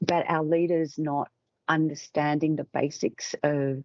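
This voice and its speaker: A woman with an Australian accent speaks at a very deep, low pitch. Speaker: communications expert and author. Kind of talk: interview.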